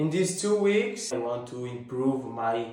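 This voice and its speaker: A man of medium pitch with an Italian accent, at a fairly slow pace, amid audible room echo. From Italy. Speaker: fitness vlogger. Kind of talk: casual vlog talk. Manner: halting, many fillers.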